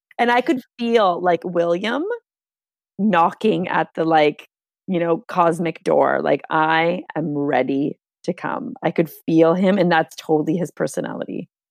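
In a Canadian accent and an ordinary speaking voice, someone talks at a fairly slow pace with lively intonation, the sound dry and close with no echo and the background quiet. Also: woman, fairly low pitch for a woman. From Canada. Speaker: spiritual movement teacher and mother. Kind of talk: casual interview chat.

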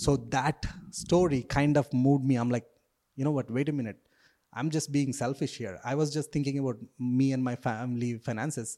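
With an Indian accent, a man speaks in a dark, mellow tone at a medium pitch, moving at a fairly quick pace with fairly even intonation. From South India. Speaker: real estate agent and investor. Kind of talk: casual interview. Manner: hesitant, filler-heavy.

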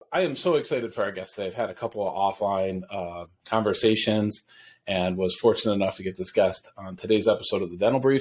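This man has an upstate New York accent. He speaks at a fairly quick pace. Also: very clean recording, silent background. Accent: upstate New York American. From US Northeast.

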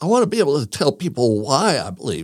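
Speaking with vocal fry at a fairly high pitch, a man makes very wide pitch swings. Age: 60s. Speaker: religion teacher. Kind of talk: casual chat.

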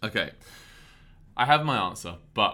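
A man speaks with a London accent at a moderate pace. His tone is bright and sharp. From London, England. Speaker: podcast co-host, touring theater actor. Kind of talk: casual chat. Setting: backstage at theater during intermission.

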